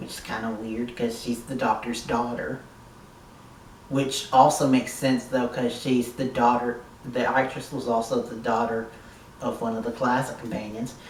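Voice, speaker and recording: In a room with audible echo and noticeable background noise, a man talks at a moderate pace and medium pitch in a monotone, flat intonation. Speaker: YouTube TV reviewer. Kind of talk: casual video review.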